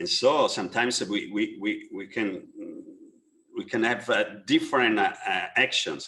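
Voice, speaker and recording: With an Italian accent, a man speaks at a moderate pace and leaves long, frequent pauses. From Italy. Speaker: architect. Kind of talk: webinar panel discussion. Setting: online webinar. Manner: halting, many fillers and repetitions.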